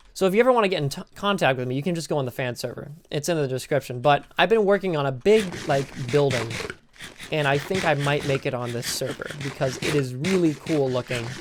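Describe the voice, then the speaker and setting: Words come at a very fast pace. Noticeable background noise runs underneath. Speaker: gaming YouTuber. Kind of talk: let's play commentary.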